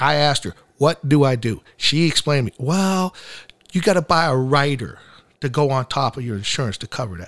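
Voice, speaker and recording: Recorded very cleanly against a silent background, a man with a fairly high pitch speaks at a fairly quick pace with lively intonation. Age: 50s. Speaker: war veteran and accident survivor. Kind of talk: testimony. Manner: halting.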